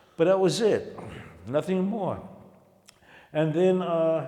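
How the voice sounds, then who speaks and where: A man with an American accent is speaking. His pace is fairly slow. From Harlem, New York. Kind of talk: interview answer.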